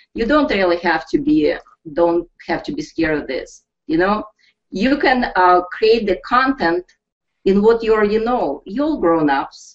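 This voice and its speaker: A woman with a Russian accent and very wide pitch swings. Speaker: network marketing team leader. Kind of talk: webinar pep talk. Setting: live online broadcast. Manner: animated.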